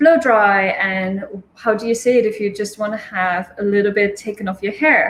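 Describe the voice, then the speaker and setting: Woman's fairly high voice with a Dutch accent and ordinary pitch variation. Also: moderate pace. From Netherlands. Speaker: hairstylist and communication coach. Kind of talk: casual interview chat.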